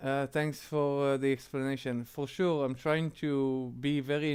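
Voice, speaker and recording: The intonation stays fairly even in this voice with an Israeli accent. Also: man. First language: Hebrew. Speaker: streamer. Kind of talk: casual live-stream chat. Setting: live stream. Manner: halting, many fillers.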